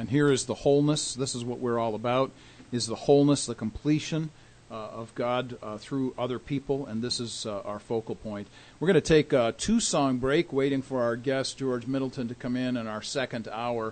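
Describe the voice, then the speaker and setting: A man's unremarkable speaking voice at medium pitch, moderate pace and fairly even intonation. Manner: warm, formal, polished radio-announcer delivery with a steady promotional rhythm.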